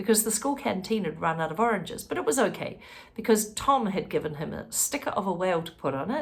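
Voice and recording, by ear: Lively intonation marks a text being read aloud in a natural voice.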